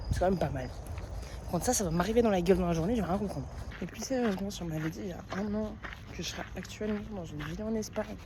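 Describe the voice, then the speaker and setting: Amid noticeable background noise and audible room echo, a woman with a medium pitch talks at a very fast pace. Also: ordinary pitch variation. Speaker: travel vlogger. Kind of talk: casual vlog. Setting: outdoors walking. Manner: casual, hesitant with fillers.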